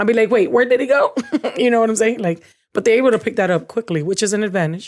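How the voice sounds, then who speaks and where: Speech comes at a very fast pace with ordinary pitch variation and a Spanish accent, in a very clean recording with a silent background. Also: woman, fairly high pitch for a woman. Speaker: podcast co-host. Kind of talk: casual chat.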